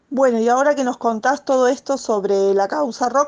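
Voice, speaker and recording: Lively intonation marks this woman's high-pitched voice. She speaks with an Argentine accent. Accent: Argentine Spanish (voseo). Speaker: radio host. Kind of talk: radio interview.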